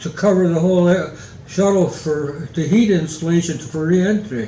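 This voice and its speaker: There is noticeable background noise behind a man speaking at a high pitch with ordinary pitch variation. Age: 80s+. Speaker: retired aerospace engineer; war veteran. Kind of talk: interview answer. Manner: halting, hesitant.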